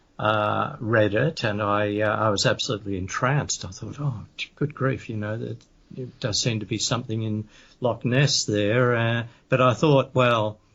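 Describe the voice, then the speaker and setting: The speaker has an Australian accent, a moderate pace and fairly even intonation. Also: man, medium pitch for a man. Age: 70s. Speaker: author and paranormal investigator. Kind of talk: interview. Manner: halting, many fillers.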